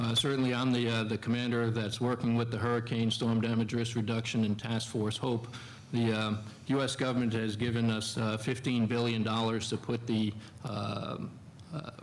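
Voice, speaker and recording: With an American accent, a man speaks at a moderate pace and medium pitch in a flat monotone, with audible room echo. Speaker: military engineer commander on a panel. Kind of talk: panel discussion answer. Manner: halting, many fillers.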